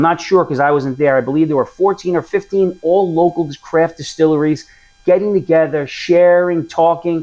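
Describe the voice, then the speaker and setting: A man talks in a New York accent at a high pitch and moderate pace. His loudness stays very even and his pitch varies in an ordinary way. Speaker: whiskey reviewer. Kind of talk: product review. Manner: casual, conversational.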